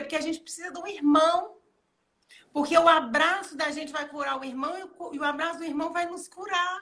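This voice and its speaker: A woman uses a raised, projected voice at an extremely high pitch, with a bright, sharp tone. She speaks at a fairly quick pace with fairly even intonation and big swings in loudness. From Minas Gerais. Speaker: pastor. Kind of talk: casual interview chat. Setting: livestream video call.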